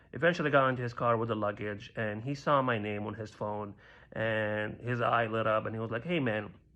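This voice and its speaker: A man with a slight Libyan accent, medium pitch, ordinary pitch variation, a bright, sharp tone, and a fairly quick pace. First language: Arabic. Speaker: stand-up comedian. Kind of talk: stand-up.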